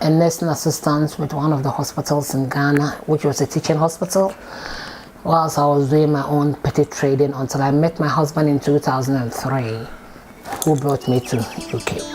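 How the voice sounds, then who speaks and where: Speaking at a moderate pace, a woman uses a very deep, low pitch with fairly even intonation. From Ghana. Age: 50s. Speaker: support worker. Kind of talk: oral history interview answer.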